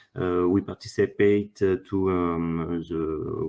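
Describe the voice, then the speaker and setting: A man speaks with a French accent at a very slow pace. His very deep, low voice keeps a fairly even intonation. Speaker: workshop presenter. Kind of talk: conference presentation. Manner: halting, many fillers.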